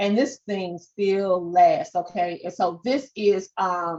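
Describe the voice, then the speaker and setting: A woman speaks with a strong Southern accent. Her pitch varies in an ordinary way. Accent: strong Southern twang. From US South. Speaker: podcast and social media coach. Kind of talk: webinar presentation.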